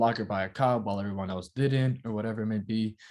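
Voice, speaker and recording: This man has a Dominican accent and a fairly low pitch, and he talks at a very fast pace. His intonation is fairly even, against a quiet background. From Dominican Republic. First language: Spanish. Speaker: actor. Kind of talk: interview. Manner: casual, filler-heavy.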